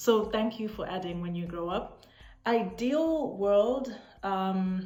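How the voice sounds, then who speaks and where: Speaking very slowly in a Zimbabwean accent, a woman has a medium pitch, a dark, mellow tone and ordinary pitch variation, with audible room echo. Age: 20s. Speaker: vlogger. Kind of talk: casual chat.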